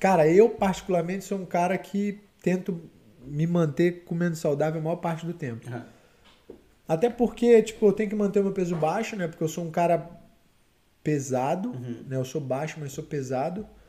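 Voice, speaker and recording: Long, frequent pauses break up this man's speech in a Carioca accent. His voice is high in pitch, with a dark, mellow tone. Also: ordinary pitch variation, moderate pace. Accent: carioca Brazilian Portuguese. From Rio de Janeiro, Campo Grande (Zona Oeste). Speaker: MMA fighter. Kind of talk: casual interview. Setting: live podcast studio.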